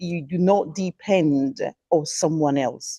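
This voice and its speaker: Against a quiet background, a woman speaks at a very slow pace. Her pitch varies in an ordinary way. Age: 60s. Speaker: conference speaker. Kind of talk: conference talk. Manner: halting.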